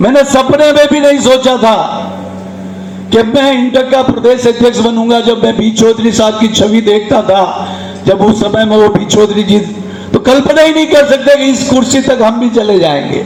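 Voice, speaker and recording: Over noticeable background noise, a man talks at an extremely high pitch with very even loudness and ordinary pitch variation. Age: 60s. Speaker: trade union leader and politician. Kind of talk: public speech. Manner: animated.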